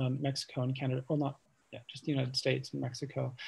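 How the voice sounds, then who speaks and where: A man mumbles in a medium-pitched, somewhat breathy voice. His tone is dark and mellow. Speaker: architecture curator and professor. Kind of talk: lecture. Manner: fast, self-described mumbling; hesitant, many fillers.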